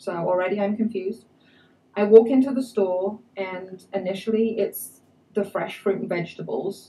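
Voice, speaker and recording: A woman's somewhat breathy voice with an English accent, at a moderate pace. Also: medium pitch for a woman, fairly even intonation. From England. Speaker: immigrant speaker. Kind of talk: personal talk to an audience.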